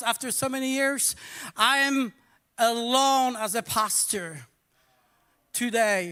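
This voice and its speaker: Speaking in a Polish accent, a man uses a raised, projected voice with an extremely high pitch and a bright, sharp tone. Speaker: pastor. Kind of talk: sermon. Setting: church. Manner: casual.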